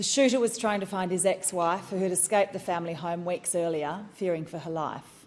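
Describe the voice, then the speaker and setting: A woman speaks in an Australian accent. Her pitch is medium. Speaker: politician. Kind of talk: parliamentary speech. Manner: formal.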